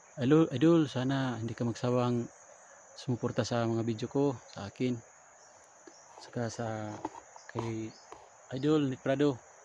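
Speaking at a fairly slow pace with long, frequent pauses, a man uses a medium pitch and fairly even intonation. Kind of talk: vlog narration.

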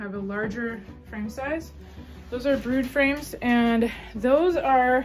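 Faint music plays in the background. The voice has ordinary pitch variation. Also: woman. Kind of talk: casual vlog chat. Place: garage. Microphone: phone near.

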